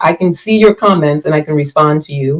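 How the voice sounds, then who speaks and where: At a moderate pace, a woman speaks in a plain, everyday voice with a fairly low pitch. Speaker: relationship coach and podcast host. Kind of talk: live-streamed solo talk. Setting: live stream.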